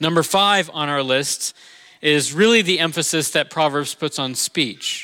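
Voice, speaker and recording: A man's bright, sharp voice at a very slow pace, with ordinary pitch variation, in a dry, close recording with no echo. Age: 40s. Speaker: pastor. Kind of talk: sermon. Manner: casual, halting with fillers.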